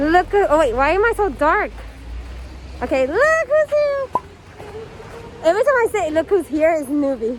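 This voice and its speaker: With an extremely high pitch and very wide pitch swings, a woman speaks at a moderate pace with long, frequent pauses over noticeable background noise. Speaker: vlogger. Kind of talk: casual vlog talk. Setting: outdoors in snowstorm. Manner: casual, rambling filler words.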